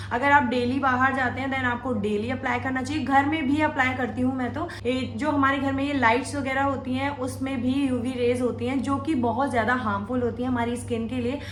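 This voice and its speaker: Over noticeable background noise and audible room echo, a woman speaks at a high pitch and a moderate pace, with monotone, flat intonation and hardly any pauses. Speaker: makeup tutorial youtuber. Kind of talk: tutorial.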